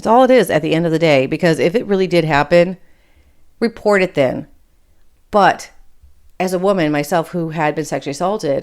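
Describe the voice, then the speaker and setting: A woman with a fairly low pitch and an American accent speaks at a fairly quick pace with ordinary pitch variation. The recording is very clean, with a silent background. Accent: Michigan accent, Appalachian coming through. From Michigan, with Appalachian Kentucky family. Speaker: podcast host. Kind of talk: political commentary monologue. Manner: casual, conversational.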